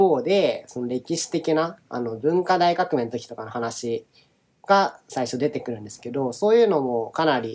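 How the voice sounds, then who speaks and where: A man talks with lively intonation at a fairly high pitch. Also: big swings in loudness. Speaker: podcast co-host, software engineer and former government official. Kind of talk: casual chat. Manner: drawn-out sentence endings.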